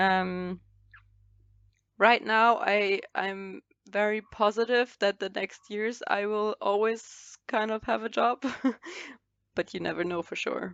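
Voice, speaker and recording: Spoken at a very slow pace with long, frequent pauses, the voice carries a German accent and fairly even intonation, in a dry, close sound with no echo over a quiet background. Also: woman, medium pitch for a woman. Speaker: fashion model. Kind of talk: casual chat. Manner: halting.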